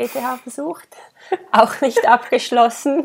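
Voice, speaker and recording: A woman draws out her words at a very slow pace, her intonation lively. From Switzerland, Engadin (Graubünden). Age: 30s. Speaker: shop owner and entrepreneur. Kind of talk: interview.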